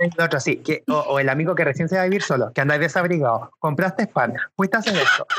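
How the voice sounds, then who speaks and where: Very fast and lively in intonation, a man speaks in a bright, sharp tone at a high pitch with very even loudness. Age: 20s. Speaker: podcast panelist. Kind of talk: casual chat.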